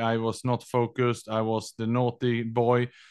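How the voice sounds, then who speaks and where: A man with a Swedish accent speaks at a moderate pace in a flat, monotone way. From Sweden. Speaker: entrepreneur and endurance athlete. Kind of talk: casual interview chat.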